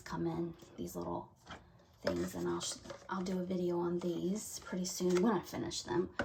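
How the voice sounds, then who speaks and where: A woman with a Southern US accent speaks fairly slowly, leaving long, frequent pauses. Noticeable background noise is present. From US South. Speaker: craft video creator. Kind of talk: casual chat; casual vlog chat. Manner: halting. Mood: warm and relaxed. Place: home room. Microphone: camera far.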